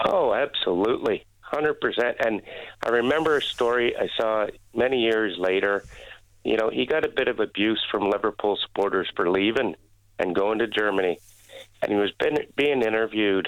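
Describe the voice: A man with fairly low pitch, a fairly bright tone, ordinary pitch variation and a moderate pace.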